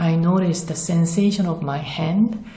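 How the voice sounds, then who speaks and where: A woman's voice with a Korean accent and audible room echo. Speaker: spiritual vlogger. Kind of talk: personal testimony.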